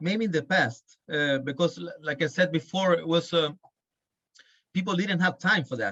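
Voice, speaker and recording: A man's bright, sharp voice, high in pitch. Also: ordinary pitch variation, moderate pace. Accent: Chilean. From Chile. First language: Spanish. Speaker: birding guide. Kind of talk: podcast interview. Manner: halting.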